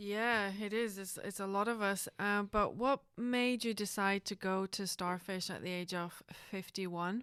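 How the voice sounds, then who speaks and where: Speaking in a plain, everyday voice, a woman at a medium pitch talks fairly slowly with hardly any pauses and fairly even intonation, in a dry, close sound with no echo on a very clean recording over a silent background. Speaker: podcast host. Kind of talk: podcast interview.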